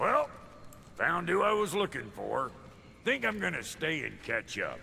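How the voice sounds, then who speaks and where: A man's raspy, put-on character voice at a moderate pace, with clear background noise. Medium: video game. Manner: cheeky, sarcastic.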